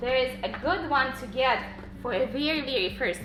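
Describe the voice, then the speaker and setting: Music plays in the background as a woman with a non-native accent speaks at a moderate pace in a high voice with lively intonation, with audible room echo. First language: not English. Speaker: Montessori homeschool parent and channel host. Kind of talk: tutorial. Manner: halting, with fillers.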